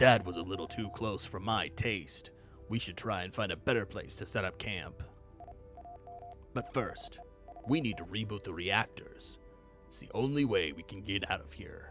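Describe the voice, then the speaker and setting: A man uses a put-on character voice, fairly low in pitch with ordinary pitch variation, moving at a moderate pace with long, frequent pauses while clear music plays in the background. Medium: game stream. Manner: calm, practical.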